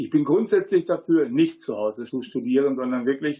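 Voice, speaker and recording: Against a quiet background, a man with a fairly high pitch and a dark, mellow tone speaks at a moderate pace. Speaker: agricultural engineer and parent. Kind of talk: studio talk show interview. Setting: studio.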